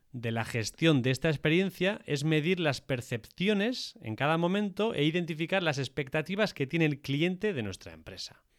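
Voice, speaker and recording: A man with a normal speaking voice talks at a moderate pace and a fairly high pitch, with lively intonation and hardly any pauses. The recording is very clean, with a silent background. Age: 30s. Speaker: podcast co-host on industry, tech and sales. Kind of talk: casual chat and explanatory discussion.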